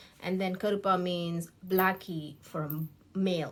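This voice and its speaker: A woman with a Tamil accent on a very clean recording with a silent background. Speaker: beauty YouTuber. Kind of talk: get-ready-with-me vlog with commentary. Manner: casual, hesitant with fillers and restarts.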